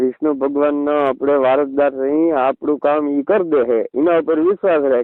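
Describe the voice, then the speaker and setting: A man's normal speaking voice, fairly high in pitch with fairly even intonation. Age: 40s. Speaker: community elder. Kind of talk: phone call.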